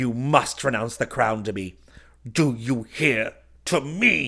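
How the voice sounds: A man's put-on character voice with vocal fry, medium pitch, a fairly bright tone, lively intonation and a slow pace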